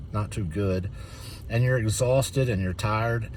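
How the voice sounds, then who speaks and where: A man talks at a fairly quick pace in a fairly low, somewhat breathy voice with ordinary pitch variation. Audible room echo surrounds the recording. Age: 60s. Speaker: reseller, channel owner. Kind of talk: casual talk-to-camera tutorial. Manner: halting, many fillers.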